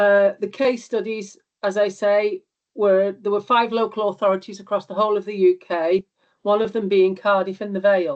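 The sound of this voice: At a moderate pace, a woman speaks at a medium pitch with little pitch movement and a slightly mellow tone.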